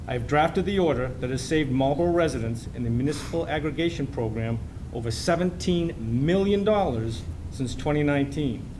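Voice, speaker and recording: A man talking at a fairly quick pace with lively intonation, amid audible room echo and noticeable background noise. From Massachusetts. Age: 60s. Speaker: city council candidate. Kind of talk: debate opening statement. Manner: formal.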